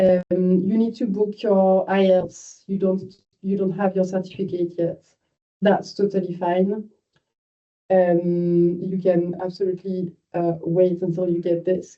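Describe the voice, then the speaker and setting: A woman speaks with a French accent. Her intonation stays flat and monotone. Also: medium pitch for a woman, fairly slow pace. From France. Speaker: university admissions manager. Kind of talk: online information session. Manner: informal, hesitant with fillers.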